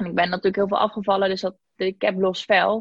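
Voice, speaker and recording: This is a woman's voice. Her pitch is medium. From Zeeland, Netherlands (Zeeuws-Vlaanderen). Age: 20s. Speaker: podcast guest sharing weight-loss story, social media worker. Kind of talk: casual interview.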